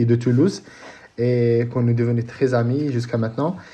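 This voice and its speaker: A man talks at a fairly quick pace with a medium pitch and monotone, flat intonation. His tone is dark, mellow and somewhat breathy. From Morocco, Casablanca. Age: 30s. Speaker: paralympic triathlete. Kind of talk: interview. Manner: halting, many repetitions.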